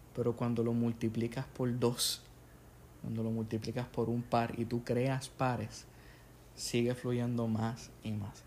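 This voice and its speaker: A man at a medium pitch, in a Puerto Rican accent, with monotone, flat intonation and a very slow pace. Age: 20s. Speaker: podcast host, English teacher and aspiring pastor. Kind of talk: casual chat. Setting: home living room.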